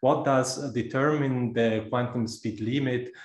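A man speaks in a monotone with flat intonation. The room echo is audible, and the background stays quiet. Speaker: speaker. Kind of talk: lecture. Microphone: video call.

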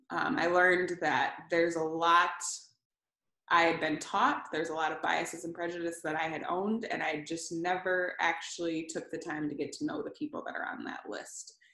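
The tone is bright and sharp, at a moderate pace. The background is quiet, though room echo is audible. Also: woman, long, frequent pauses. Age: 30s. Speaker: ministry executive director, former college basketball player. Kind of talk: faith testimony interview. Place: home room. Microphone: video call.

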